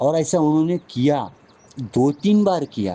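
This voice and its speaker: This is a man speaking with a Marathi accent. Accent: Marathi-toned Hindi. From Maharashtra, India. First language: Marathi (speaking Hindi). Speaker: spiritual teacher. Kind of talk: spiritual talk with personal storytelling. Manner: halting, with frequent restarts.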